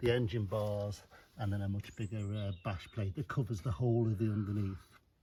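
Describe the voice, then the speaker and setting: A man speaks at a fairly quick pace. His voice is somewhat breathy, with fairly even intonation. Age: 60s. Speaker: motorcycle owner. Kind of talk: casual chat. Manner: halting.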